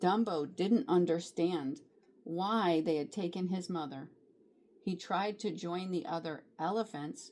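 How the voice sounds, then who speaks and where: Fairly slow speech in a plain, everyday voice, pitch variation ordinary. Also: woman. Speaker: grandmotherly storybook reader. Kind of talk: children's picture book read-aloud.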